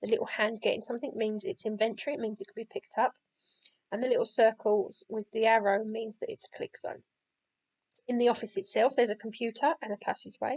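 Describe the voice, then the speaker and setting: A woman talks very fast at a fairly high pitch with fairly even intonation. Her loudness swings a lot, and the sound is dry and close with no echo. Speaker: game creator making a tutorial. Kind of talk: software tutorial. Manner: casual with many fillers.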